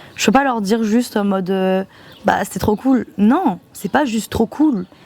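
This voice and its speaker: Amid noticeable background noise, a woman with a fairly high pitch speaks at a fairly slow pace with ordinary pitch variation. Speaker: vlogger, student back from exchange. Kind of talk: casual vlog monologue. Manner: poorly articulated.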